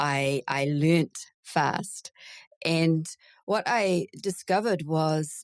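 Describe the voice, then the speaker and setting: A woman with a New Zealand accent, fairly low pitch and ordinary pitch variation, in a dry, close sound with no echo. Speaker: veterinary recruiter. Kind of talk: casual interview.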